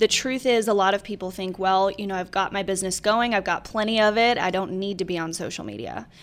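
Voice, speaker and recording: In a normal speaking voice, a woman talks at a medium pitch. Her pace is fairly quick and her intonation fairly even. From northern New York. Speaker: real estate agent. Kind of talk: casual interview.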